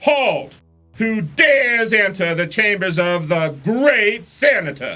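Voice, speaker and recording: A put-on character voice with a fairly high pitch speaks at a fairly slow pace. Music plays in the background. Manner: commanding, challenging.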